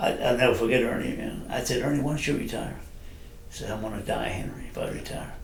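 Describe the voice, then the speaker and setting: A man at medium pitch and a very fast pace with fairly even intonation, amid audible room echo and noticeable background noise. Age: 70s. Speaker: retired special forces sergeant major. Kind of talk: casual interview chat. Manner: halting.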